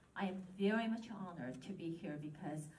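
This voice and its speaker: Audible room echo around a woman's medium-pitched voice, fairly slow, with ordinary pitch variation. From Japan, Korean family. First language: Korean. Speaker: local politician. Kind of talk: ceremony speech.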